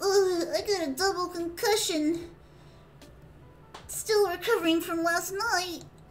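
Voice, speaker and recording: A woman speaks in a put-on character voice, extremely high-pitched, bubbly and cheerful, with fairly even intonation. She goes at a fairly slow pace with long, frequent pauses over clear background noise. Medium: game stream. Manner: bubbly, cheerful, scatterbrained.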